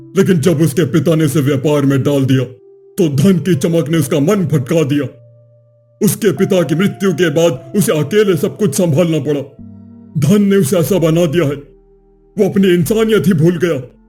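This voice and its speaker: A man does a cartoonish character voice with a fairly high pitch. Faint music plays in the background. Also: moderate pace. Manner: calm, measured, preachy.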